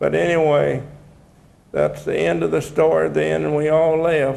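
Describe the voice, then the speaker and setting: Speaking with a Texan accent, a man talks at a fairly slow pace in a room with audible echo. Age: 80s+. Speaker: retired deputy sheriff. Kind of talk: testimony. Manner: halting.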